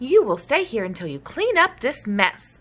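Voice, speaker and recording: A woman's put-on character voice, high in pitch, at a moderate pace. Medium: read story. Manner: stern.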